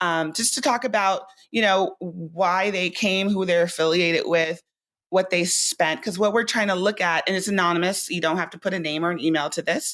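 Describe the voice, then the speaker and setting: This woman's voice sits at a medium pitch, moving at a moderate pace with ordinary pitch variation. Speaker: sports event professional. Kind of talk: podcast interview. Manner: loud.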